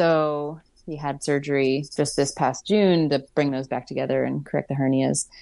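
A woman with an American accent speaks at a moderate pace in a very deep, low pitch, her dark, mellow tone and fairly even intonation set against a quiet background. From Pittsburgh, US. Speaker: climbing guide. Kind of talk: casual interview. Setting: video call.

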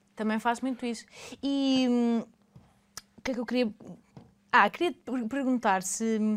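Her voice fairly high for a woman, she talks at a fairly slow pace with fairly even intonation and long, frequent pauses. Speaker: podcast host. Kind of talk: casual interview.

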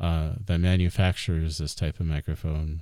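In a General American accent, a man with a very deep, low voice and a dark, mellow tone speaks at a moderate pace with fairly even intonation in a very clean recording with a silent background. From Arizona, US (Phoenix area). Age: 30s. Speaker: podcast host and musician. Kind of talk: solo podcast monologue. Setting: home studio. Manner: casual, many fillers (um, uh).

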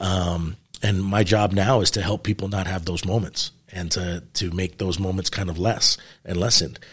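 On a very clean recording with a silent background, a man with a very deep, low pitch speaks at a moderate pace in a somewhat breathy, monotone, flat delivery. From New York City. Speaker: retired police sergeant and police trainer. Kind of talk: interview.

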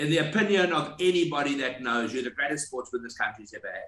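With an unremarkable speaking voice, a man talks at a fairly quick pace and a fairly high pitch. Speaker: golf podcast co-host. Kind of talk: interview.

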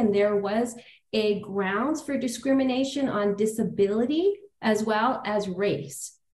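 Speaking with a Canadian accent, a woman uses a fairly high pitch with ordinary variation and a somewhat breathy sound. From Toronto, Canada. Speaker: lawyer and law firm founder. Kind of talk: casual interview.

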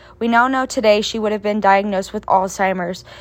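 A woman speaks in a plain, everyday voice, fairly high in pitch with fairly even intonation. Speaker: student podcast host. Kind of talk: interview.

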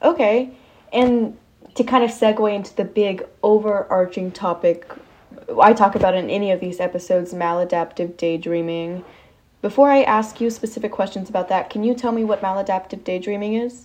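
In a plain, everyday voice, a woman speaks at a fairly quick pace with medium pitch and ordinary pitch variation. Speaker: podcast interviewer. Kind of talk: interview.

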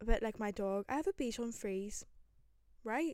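Fairly high in pitch, a woman speaks with a Northern Irish accent and fairly even intonation. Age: 20s. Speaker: podcaster. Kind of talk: casual solo chat. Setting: bedroom with microphone.

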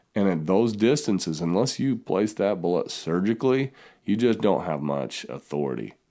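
Using a dark, mellow tone with some vocal fry, a man with an American accent talks at a moderate pace, his fairly low voice carrying lively intonation. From southern Utah. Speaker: hunting podcaster and writer. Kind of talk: casual interview conversation. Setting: remote call, Idaho.

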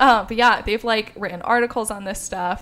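Vocal fry runs through this woman's voice. She keeps a moderate pace. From US Midwest. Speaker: podcast co-host. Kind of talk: casual chat.

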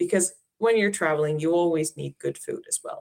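A woman speaks with an Icelandic accent in a fairly low pitch. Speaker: Icelandic tourism representative. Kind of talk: interview.

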